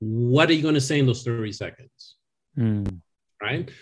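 In a French accent, a man talks at a moderate pace with a somewhat breathy voice and lively intonation. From France. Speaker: screenwriting consultant and educator. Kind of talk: casual interview chat.

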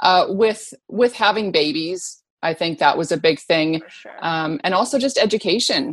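A woman with a Canadian accent speaks in an unremarkable speaking voice at a medium pitch and moderate pace. Her intonation is lively, with big swings in loudness. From northwest Canada. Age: 50s. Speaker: fitness trainer and model. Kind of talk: interview conversation.

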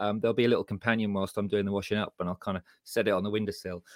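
With an English Midlands accent, a man speaks at a fairly low pitch in a very clean recording with a silent background and a dry, close sound with no echo. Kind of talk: casual chat.

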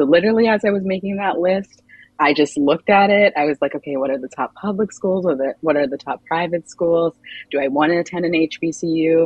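In a normal speaking voice with an American accent, the speaker moves at a fairly quick pace with ordinary pitch variation. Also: woman, fairly low pitch for a woman. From Maryland, Montgomery County. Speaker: recent graduate, marketing professional. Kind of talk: interview.

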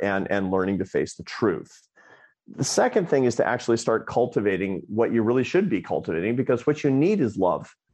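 Over a quiet background, a man with an American accent and an unremarkable speaking voice talks fairly quickly at medium pitch with lively intonation. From Scranton, Pennsylvania, US. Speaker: social scientist and author. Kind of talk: interview.

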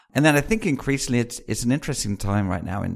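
A man speaks with a British accent and lively intonation. The recording is very clean, with a silent background. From UK. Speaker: venture capitalist. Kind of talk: interview.

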